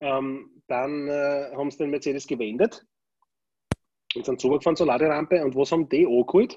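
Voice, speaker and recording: The speech moves at a fairly quick pace in a dark, mellow tone with fairly even intonation. Long, frequent pauses break it up. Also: man, fairly high pitch for a man. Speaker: podcast co-host. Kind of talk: casual chat. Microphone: tinny, poor audio, like through a tin can.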